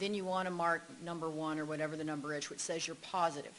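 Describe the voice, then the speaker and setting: Audible room echo surrounds a woman whose fairly low voice keeps a fairly even intonation. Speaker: expert witness, psychology professor. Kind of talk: court testimony; casual chat. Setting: courtroom. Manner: fast.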